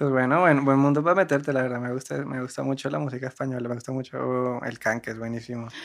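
At a very fast pace, a man speaks with hardly any pauses. His pitch is medium, with ordinary variation. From Cartagena, Colombia. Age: 20s. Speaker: musician in a band. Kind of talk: casual chat.

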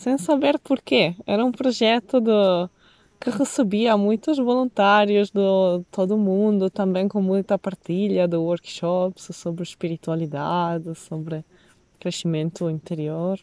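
A woman speaks in an Italian accent at a fairly slow pace. Her medium pitch comes through with a dry, close sound and no echo. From Italy, Venice. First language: Italian (speaking Portuguese). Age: 30s. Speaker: nomadic woman sharing life experience. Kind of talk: interview. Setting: outdoors by a lake.

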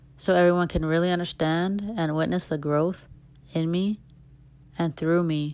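A woman's fairly low voice at a moderate pace, fairly even in intonation, in a very clean recording with a silent background. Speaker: solo podcast host. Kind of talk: casual monologue. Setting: home recording without microphone. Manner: uneven volume and speed.

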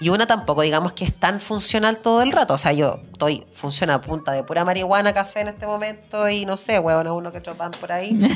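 A woman's very fast speech in a Chilean accent, with ordinary pitch variation and hardly any pauses. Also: medium pitch for a woman. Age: 30s. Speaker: comedian. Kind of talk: casual chat.

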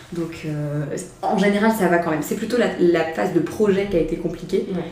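A woman's fairly low voice amid audible room echo and noticeable background noise. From France, Mayenne. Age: 20s. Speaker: entrepreneur. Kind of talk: casual chat. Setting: office.

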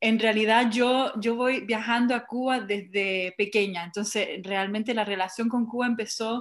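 A woman's fairly high-pitched voice, with fairly even intonation and very even loudness. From Montreal, Canada, of Chilean family. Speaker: cultural project founder, curator. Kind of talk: group interview.

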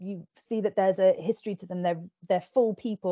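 Over a quiet background, a dark, mellow tone delivers monotone, flat intonation at a fairly quick pace in a dry, close sound with no echo. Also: woman. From England. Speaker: book reviewer and podcast host. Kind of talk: casual interview and book review. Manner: hesitant with many fillers.

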